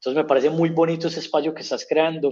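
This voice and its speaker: The voice has an Antioquian accent. Its tone is dark and mellow. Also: man. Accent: paisa. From Colombia, Antioquia (paisa). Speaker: humanitarian worker. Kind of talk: interview.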